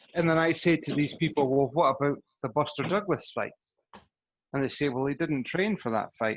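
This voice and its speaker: A man with a Scottish accent talks at a fairly quick pace and fairly high pitch, with ordinary pitch variation. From Scotland. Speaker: boxing podcast host. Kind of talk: casual chat. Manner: animated.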